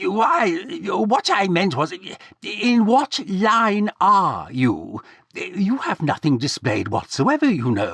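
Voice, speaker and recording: Putting on a character voice, a man speaks high and fairly slowly with very wide pitch swings, and the sound is dry and close with no echo. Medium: read story. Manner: awkward, hesitant.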